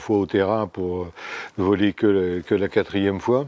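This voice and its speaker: A man's fairly low, dark, mellow voice at a moderate pace, with ordinary pitch variation and a dry, close sound with no echo. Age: 70s. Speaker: amateur pilot. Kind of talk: casual interview.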